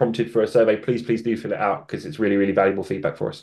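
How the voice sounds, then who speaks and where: Against a quiet background, a man speaks at medium pitch with a dark, mellow tone. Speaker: software developer presenting webinar. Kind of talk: webinar Q&A. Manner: fast.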